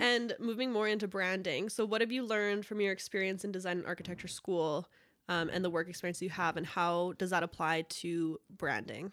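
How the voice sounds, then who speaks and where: A woman's plain, everyday voice at a medium pitch and fairly quick pace, with ordinary pitch variation, in a very clean recording with a silent background. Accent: Canadian. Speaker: podcast host. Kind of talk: casual interview. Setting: studio.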